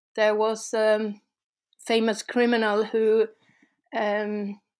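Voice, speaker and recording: In a Swedish accent, a woman speaks at a very slow pace and a fairly high pitch. The recording is very clean, with a silent background. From Sweden. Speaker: urban explorer. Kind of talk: casual interview. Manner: halting.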